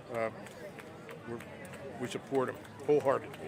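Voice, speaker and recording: A man speaks with an American accent amid crowd noise in the background. Audible room echo surrounds his voice. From Pittsburgh area, western Pennsylvania. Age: 60s. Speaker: rally attendee interviewed on the street. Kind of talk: street interview. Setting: outdoors at political rally. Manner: halting, repeats words.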